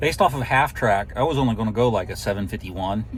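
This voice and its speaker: Fairly low-pitched and lively in intonation, a man with an unremarkable speaking voice talks at a fairly quick pace. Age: 50s. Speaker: drag racer vlogger. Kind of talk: casual vlog talk to camera. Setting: sitting in a truck at the racetrack.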